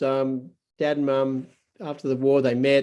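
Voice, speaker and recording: Delivered at a moderate pace, the speech has a dark, mellow tone and an Australian accent. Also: man. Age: 70s. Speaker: pastor. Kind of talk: testimony. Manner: halting.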